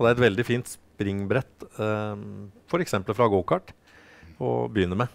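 Fairly low in pitch, this man speaks with ordinary pitch variation. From Norway. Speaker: historic racing driver and parent; guest. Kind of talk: studio interview. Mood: calm, friendly. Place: studio. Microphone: headset.

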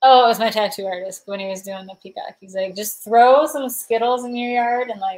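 Animated in tone, a woman talks at a moderate pace with ordinary pitch variation and big swings in loudness. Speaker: livestreamer and thrift reseller; livestreamer, thrift reseller. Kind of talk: casual livestream chat. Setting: livestream at home with chat. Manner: chatty, giggly, animated. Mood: cheerful, playful. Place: home room. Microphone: webcam.

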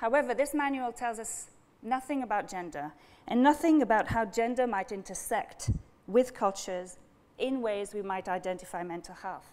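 Speaking in a French accent at a moderate pace, a woman uses a fairly high pitch, lively intonation, and big swings in loudness. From France. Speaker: speaker. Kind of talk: academic lecture. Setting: stage with audience. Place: hall. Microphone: lapel.

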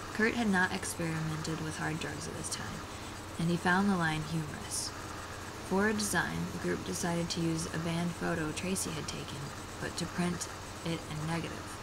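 A woman keeps a moderate pace while loud background noise continues around her. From Oklahoma, US South. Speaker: vlogger. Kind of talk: book passage reading. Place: home room. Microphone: earbuds.

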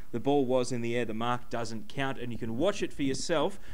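A man's fairly quick delivery with ordinary pitch variation. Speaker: web TV sports host. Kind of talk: sports panel discussion. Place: bar. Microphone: handheld.

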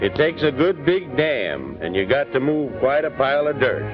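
With music in the background, a man in a Western US accent speaks at a moderate pace with lively intonation. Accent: Western American twang. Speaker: narrator. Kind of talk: documentary narration. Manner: earnest, patriotic.

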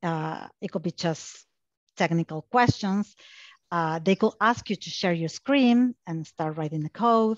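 Against a quiet background with a dry sound and no echo, a woman with an Argentine accent talks at a fairly slow pace and fairly low pitch with lively intonation. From Argentina. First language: Spanish. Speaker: technical account manager; guest. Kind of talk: panel discussion. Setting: online video webinar. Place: home room. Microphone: headset.

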